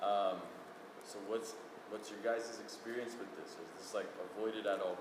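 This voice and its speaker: Amid audible room echo and noticeable background noise, a man speaks at medium pitch. His pace is moderate and his intonation monotone and flat. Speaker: audience member asking a question. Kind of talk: audience question. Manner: loud.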